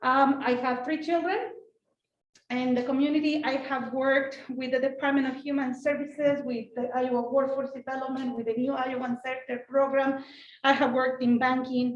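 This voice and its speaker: A woman with a Mexican accent speaks at a moderate pace in a high pitch. Audible room echo surrounds her voice. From Mexico. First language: Spanish. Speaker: school board president. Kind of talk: panel talk. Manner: animated.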